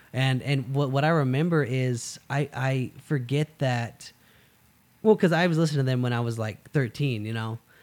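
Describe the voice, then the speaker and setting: A man talks at a moderate pace and medium pitch, with ordinary pitch variation. His is an unremarkable speaking voice, captured in a very clean recording with a silent background. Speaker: podcast host. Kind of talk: casual interview chat.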